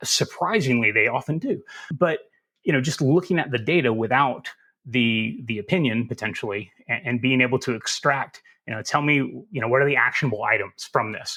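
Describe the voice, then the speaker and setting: In a Southern US accent with a bright, sharp tone, the speaker moves at a fairly quick pace on a very clean recording with a silent background. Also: man, medium pitch for a man, ordinary pitch variation. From US South. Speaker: cybersecurity expert. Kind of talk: podcast interview.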